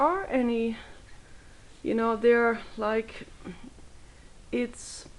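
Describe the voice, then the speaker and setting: Speaking with a German accent, a woman talks at a very slow pace with long, frequent pauses. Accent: German accent, improving. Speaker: video blogger. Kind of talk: casual vlog monologue.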